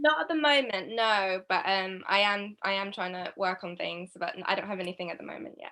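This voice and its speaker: A woman with a British accent talks at a medium pitch and a fairly quick pace with hardly any pauses, her tone bright and sharp, her intonation lively, and her loudness swinging widely. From England, London. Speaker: young filmmaker. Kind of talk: panel Q&A.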